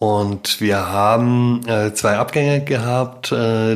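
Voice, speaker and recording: Fairly even intonation marks this very slowly delivered speech. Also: man. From Baden-Württemberg, Germany. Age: 40s. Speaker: daycare founder and business consultant. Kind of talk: casual interview.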